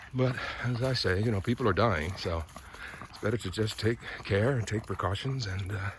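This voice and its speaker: A man with an American accent talks in a relaxed tone at a moderate pace, with ordinary pitch variation. Noticeable background noise sits behind him. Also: fairly low pitch for a man. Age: 60s. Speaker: vlogger, former broadcast journalist. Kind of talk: casual vlog monologue. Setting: outdoors, walking a dog in a park. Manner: relaxed, with frequent fillers.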